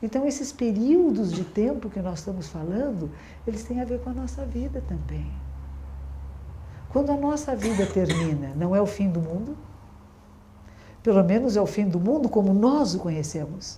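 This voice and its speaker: A woman with a medium pitch and a dark, mellow tone speaks at a moderate pace with vocal fry and very wide pitch swings. Long, frequent pauses break up her speech, and audible room echo surrounds it. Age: 60s. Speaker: Zen Buddhist nun. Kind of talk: dharma talk. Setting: room with audience, being filmed.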